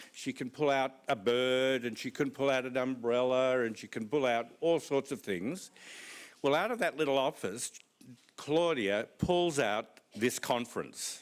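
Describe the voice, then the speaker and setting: In an Australian accent, a man talks at a fairly slow pace. His pitch sits in the medium range. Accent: Australian, flat vowels. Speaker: conference speaker. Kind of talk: conference talk.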